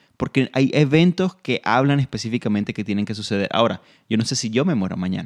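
The speech comes at a very fast pace with lively intonation, in a very clean recording with a silent background and a dry, close sound with no echo. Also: man, medium pitch for a man. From Venezuela. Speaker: Bible teacher and ministry director. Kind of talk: Bible teaching in radio conversation. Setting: radio program.

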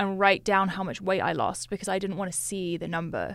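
A woman's normal speaking voice at medium pitch with fairly even intonation. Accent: American. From Switzerland and US (Westchester, New York). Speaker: fitness influencer. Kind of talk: casual interview chat.

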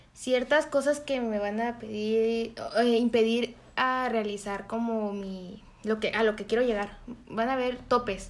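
A woman at a fairly high pitch, fairly slow and monotone with flat intonation. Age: 20s. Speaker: university student. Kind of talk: interview answers.

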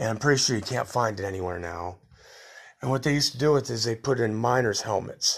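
Talking at a very fast pace, a man uses a medium pitch with vocal fry. His pitch variation is ordinary. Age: 50s. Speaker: podcaster telling life stories. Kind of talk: solo autobiographical monologue. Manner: casual, rambling with fillers.

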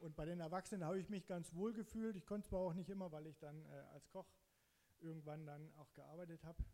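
This man speaks at a very fast pace. His voice is high-pitched with a dark, mellow tone. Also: fairly even intonation. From eastern Saxony, Germany (Zittau Mountains). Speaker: church member giving testimony. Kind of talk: testimony. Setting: church stage, sharing a microphone.

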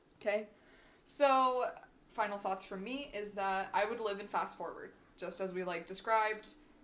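A woman with a plain, everyday voice, an American accent, medium pitch, ordinary pitch variation and a moderate pace. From Washington state, US. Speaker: podcast co-host, grad student. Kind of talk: scripted reading of prepared topic; casual chat.

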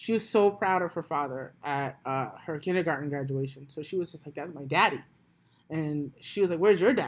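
A woman with an American accent speaks loudly at a fairly quick pace, her pitch very deep and low. Her intonation is lively, and the recording is very clean with a silent background. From US, New York (Brooklyn). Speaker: podcaster. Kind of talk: casual chat.

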